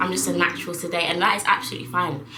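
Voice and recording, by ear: The pace is fast, with little pitch movement. There is audible room echo. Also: woman.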